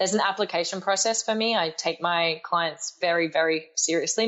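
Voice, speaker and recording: Her pitch fairly low, the woman talks with an Australian accent. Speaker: life coach and speaker. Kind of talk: podcast interview.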